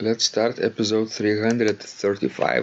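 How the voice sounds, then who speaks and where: Fairly slow speech from a man with a fairly low pitch and a Russian accent. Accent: Russian-sounding accent in English. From Lithuania. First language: Lithuanian. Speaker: organist and podcast host. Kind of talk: casual podcast chat. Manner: halting, with fillers.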